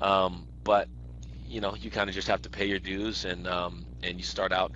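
A man speaks over noticeable background noise. The sound is dry with no echo. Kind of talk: interview answer. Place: office. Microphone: headset.

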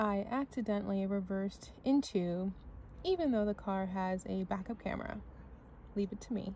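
A woman's voice with ordinary pitch variation, dry sound with no echo and light background noise. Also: moderate pace. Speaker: vlogger. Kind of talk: casual vlog chat. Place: street. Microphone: phone near.

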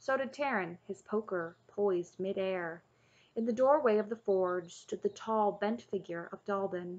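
The pitch varies in an ordinary way during plain reading aloud.

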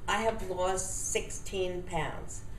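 A woman speaks with ordinary pitch variation amid light background noise and audible room echo. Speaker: testimonial giver. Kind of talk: customer testimonial. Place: home room. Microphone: webcam.

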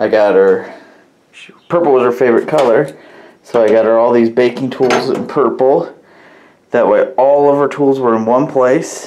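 A man talks at a moderate pace with fairly even intonation and very even loudness, leaving long, frequent pauses. Light background noise sits under his voice. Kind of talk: casual vlog chat. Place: workshop. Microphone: phone near.

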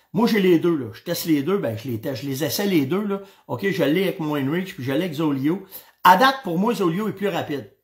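A man with a high pitch talks fairly quickly in an animated tone, with lively intonation and big swings in loudness against a quiet background. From Quebec. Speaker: hunting show host. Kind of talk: casual live-stream chat. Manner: animated, hesitant with many fillers. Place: home room. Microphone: webcam.

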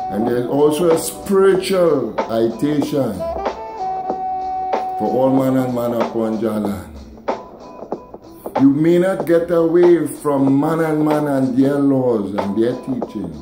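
Very slow speech from a fairly high-pitched man, with long, frequent pauses and noticeable background noise. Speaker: dub poet. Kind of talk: poetry reading. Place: home room. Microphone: phone near.

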